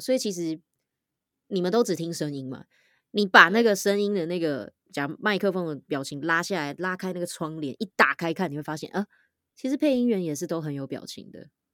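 A woman's fairly low, energetic voice with lively intonation at a moderate pace, dry and close with no echo, in a very clean recording with a silent background. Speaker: voice actor and podcaster. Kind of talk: casual chat. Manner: loud.

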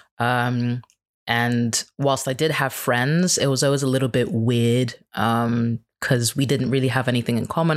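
On a very clean recording with a silent background, a man with a normal speaking voice talks at a moderate pace and medium pitch, with fairly even intonation and very even loudness. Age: 30s. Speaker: podcaster. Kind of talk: casual interview chat.

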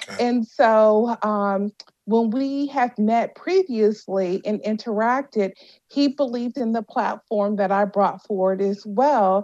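A woman's fairly high voice, dark and mellow in tone, with fairly even intonation at a fairly slow pace against a quiet background. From Washington D.C. and Louisiana. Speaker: cannabis entrepreneur and CEO. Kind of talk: interview.

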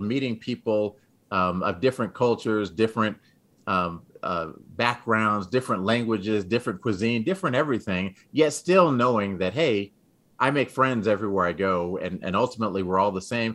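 With an ordinary speaking voice, a man talks at a moderate pace and fairly low pitch against a quiet background. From Texas, San Antonio. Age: 50s. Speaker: former pro football player, motivational speaker. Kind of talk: casual interview.

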